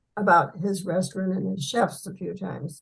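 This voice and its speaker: A woman speaks in a somewhat breathy voice at a moderate pace. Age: 80s+. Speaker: writer. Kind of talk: interview answer.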